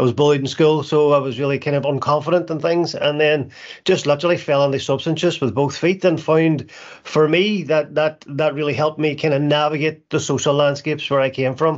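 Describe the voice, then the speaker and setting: A man with a Northern Irish accent, fairly high pitch, fairly even intonation and a fairly quick pace. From Northern Ireland (Derry). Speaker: recovery charity founder. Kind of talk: testimony. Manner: halting.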